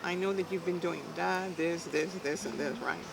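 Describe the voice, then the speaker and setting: A woman speaks with an American accent at a medium pitch. Noticeable background noise runs behind her. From South Texas. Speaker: arm wrestler. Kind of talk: oral history interview answer. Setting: outdoors. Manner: lively storytelling.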